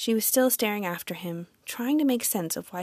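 A natural reading voice carries the whole clip.

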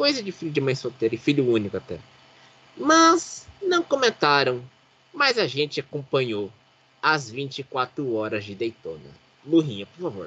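Long pauses come frequently in this fairly slow speech. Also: man. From Brazil, Pindamonhangaba (São Paulo state). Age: 30s. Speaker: motorsport podcast host. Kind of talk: casual chat.

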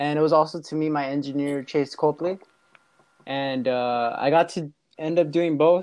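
At a moderate pace, a man with an American accent and a normal speaking voice talks in a fairly high pitch with fairly even intonation. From Los Angeles, California. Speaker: rapper and music producer. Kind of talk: casual chat.

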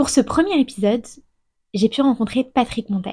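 Dark, mellow tone from a woman, fairly high in pitch, with ordinary pitch variation at a moderate pace. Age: 30s. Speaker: podcast host. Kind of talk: interview; scripted narration.

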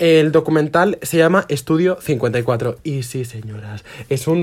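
On a very clean recording with a silent background, a man talks in an animated tone with ordinary pitch variation. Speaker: podcast co-host. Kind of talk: casual chat.

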